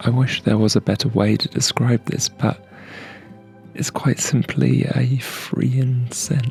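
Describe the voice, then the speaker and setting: A soft-spoken man talks at a very slow pace and medium pitch, with very even loudness. His intonation is fairly even, with music in the background. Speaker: aromatherapy ASMR creator. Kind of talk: ASMR aromatherapy narration.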